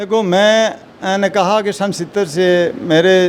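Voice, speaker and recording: A man with ordinary pitch variation. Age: 60s. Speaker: retired civil servant. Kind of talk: interview.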